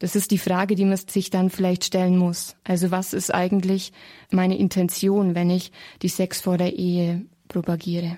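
A woman of medium pitch speaks with a dark, mellow tone and monotone, flat intonation. Her loudness stays very even on a very clean recording with a silent background. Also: moderate pace. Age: 30s. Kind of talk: radio interview.

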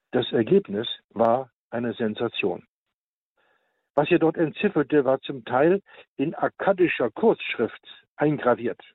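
At a very slow pace, a man speaks with lively intonation and long, frequent pauses. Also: fairly high pitch for a man. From Berlin, Germany. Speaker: Jesuit priest and author. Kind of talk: lecture.

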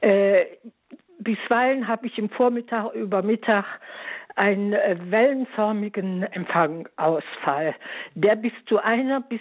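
A woman with a medium-pitched voice talks very slowly, her intonation lively. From Eifel, Germany. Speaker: caller. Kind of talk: radio call-in question. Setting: phone call.

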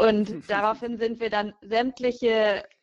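Hers is an unremarkable speaking voice, a woman at medium pitch with fairly even intonation. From Bonn, western Germany. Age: 30s. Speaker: consecrated laywoman and youth leader. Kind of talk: radio call-in discussion. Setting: remote line into radio studio.

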